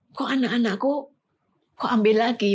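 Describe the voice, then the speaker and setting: This woman's voice is fairly high in pitch and somewhat breathy, captured in a very clean recording against a silent background. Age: 60s. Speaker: bereaved mother. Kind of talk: testimony.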